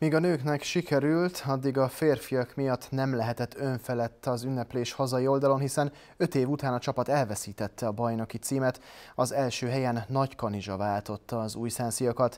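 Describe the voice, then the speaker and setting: This is a man with a medium-pitched voice. He talks at a moderate pace with fairly even intonation. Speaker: TV sports presenter. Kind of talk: news reading. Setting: TV studio. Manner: formal. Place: studio.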